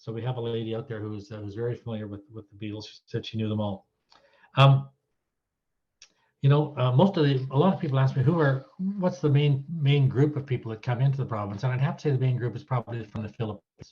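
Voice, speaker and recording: A man with a Canadian accent talks very fast at a medium pitch, his dark, mellow tone somewhat breathy, with ordinary pitch variation and big swings in loudness. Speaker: retired citizenship judge. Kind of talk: talk to an audience, anecdotes. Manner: casual, hesitant with fillers.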